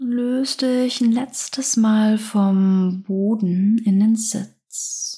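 A woman with a fairly high voice talks at a very slow pace in a dark, mellow tone, somewhat breathy and with fairly even intonation. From southern Germany. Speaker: yoga teacher. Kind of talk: guided yoga practice. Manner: slow, calm.

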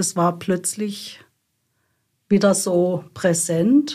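Her pace is very slow and her pitch medium. The woman's voice is somewhat breathy, with a dark, mellow tone. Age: 70s. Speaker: activist. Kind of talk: interview.

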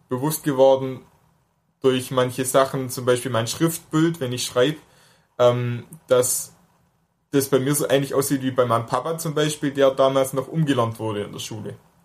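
Speaking at a fairly slow pace, the man has a medium pitch, fairly even intonation and a slight Swabian accent. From near Stuttgart, Swabia, Germany. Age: 20s. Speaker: drummer with hemiparesis, interviewee. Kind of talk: interview.

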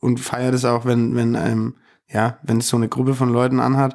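A man's medium-pitched voice with a slightly mellow tone, vocal fry, little pitch movement and a moderate pace.

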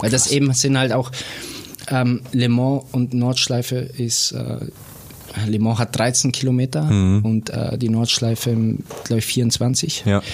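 A man with a medium pitch talks at a fairly slow pace, with fairly even intonation. He leaves long, frequent pauses over noticeable background noise. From Bavarian Swabia (Bobingen near Augsburg). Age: 30s. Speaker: racing driver. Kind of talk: casual interview.

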